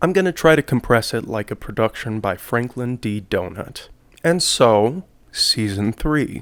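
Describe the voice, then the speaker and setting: Man at a fairly slow pace in a normal speaking voice. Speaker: video essayist. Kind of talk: commentary and analysis. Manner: casual, profane.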